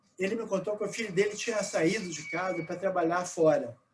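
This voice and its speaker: Lively in intonation, a man with a high pitch talks at a moderate pace. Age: 60s. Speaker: priest and researcher. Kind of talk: live online debate. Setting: live stream.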